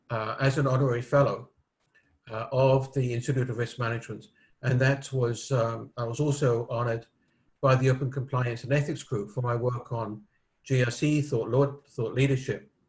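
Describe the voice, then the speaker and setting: A man with a British accent, medium in pitch and moderate in pace, somewhat breathy, with monotone, flat intonation. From United Kingdom. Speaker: risk management expert. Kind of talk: interview. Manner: hesitant with fillers.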